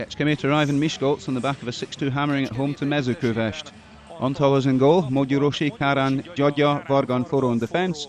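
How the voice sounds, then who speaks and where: A man's fairly high voice at a very fast pace, fairly even in intonation, over noticeable background noise. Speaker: football commentator. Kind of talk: live sports commentary.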